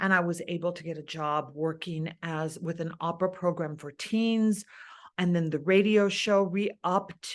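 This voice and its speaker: Woman with an American accent in an ordinary speaking voice, fairly low pitch, ordinary pitch variation, and moderate pace against a quiet background. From East Los Angeles. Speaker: opera singer; TV and radio host. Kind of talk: interview answer.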